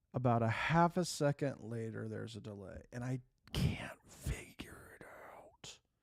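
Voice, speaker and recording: Whispering, a man speaks with big swings in loudness. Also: fairly slow pace. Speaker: gaming streamer. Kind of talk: casual livestream chat. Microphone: new mic with half-second monitoring delay.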